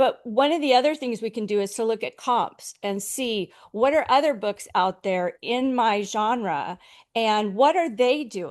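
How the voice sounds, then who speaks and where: Against a quiet background, a woman with an unremarkable speaking voice talks fairly slowly, her fairly high pitch rising and falling with lively intonation. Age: 60s. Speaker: author marketing consultant. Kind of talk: interview on a panel webinar.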